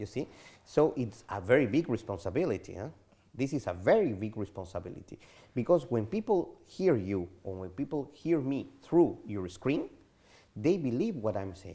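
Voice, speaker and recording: Against a quiet background, a man of medium pitch speaks at a moderate pace in a somewhat breathy voice with a dark, mellow tone, very wide pitch swings and big swings in loudness. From Peru. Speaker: diplomat. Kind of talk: TV interview.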